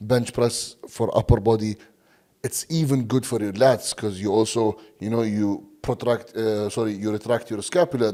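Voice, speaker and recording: A man speaks with an Arabic accent at medium pitch in a dark, mellow tone. The recording is very clean, with a silent background. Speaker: bodybuilding coach. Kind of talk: podcast interview. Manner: halting, many fillers and repeats.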